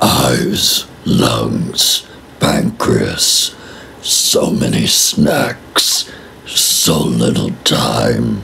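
A raspy put-on character voice from a man at a very slow pace, with clear background noise. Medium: role play. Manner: menacing.

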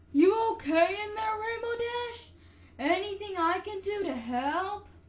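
A put-on character voice, female-sounding and extremely high in pitch for a woman, at a fairly slow pace. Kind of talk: voice reel.

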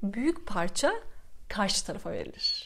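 A woman speaks at a moderate pace in an animated tone. Her intonation is lively. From Istanbul, Turkey; Turkey. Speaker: vlogger, former flight attendant and waitress; vlogger. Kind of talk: casual vlog monologue. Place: home room. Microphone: lapel.

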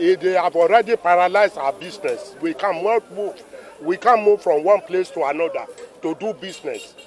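Over music in the background, a high-pitched man with a Nigerian accent speaks at a moderate pace with fairly even intonation, the sound dry with no echo. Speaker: transporter. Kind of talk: street interview. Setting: outdoors. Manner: emphatic. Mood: frustrated complaint. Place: street. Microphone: handheld.

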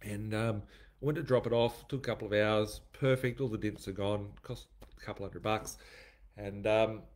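A man talks at a moderate pace with fairly even intonation and a fairly low pitch. It is an unremarkable speaking voice. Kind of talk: casual vlog chat. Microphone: webcam.

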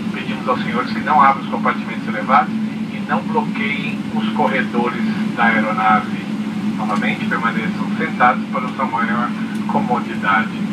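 Loud background noise sits under a man speaking at a moderate pace. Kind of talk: cabin announcement. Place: plane.

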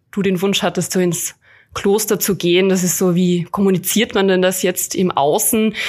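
On a very clean recording with a silent background, a woman with a slight Carinthian accent speaks at a moderate pace and medium pitch, her intonation fairly even. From Austria, Carinthia. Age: 20s. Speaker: hospital chaplain. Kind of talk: podcast interview.

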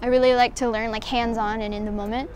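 A woman with a high-pitched voice speaks over noticeable background noise in a dry space with no echo. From Mexico, raised in Houston, Texas; Mexico. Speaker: art student. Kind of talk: application video monologue. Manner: casual, with filler words. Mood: calm, earnest. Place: cafe. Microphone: lapel.

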